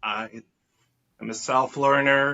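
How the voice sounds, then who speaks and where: Flat, monotone intonation runs through this man's speech. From Israel. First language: Hebrew. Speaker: artist and educator. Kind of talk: interview conversation. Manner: hesitant, many fillers.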